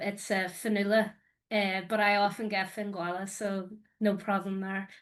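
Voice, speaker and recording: A woman with an Irish accent, medium pitch and monotone, flat intonation at a moderate pace, over a quiet background. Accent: Irish accent, noticeable. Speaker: academic researcher. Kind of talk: conference presentation. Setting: video call into a symposium panel.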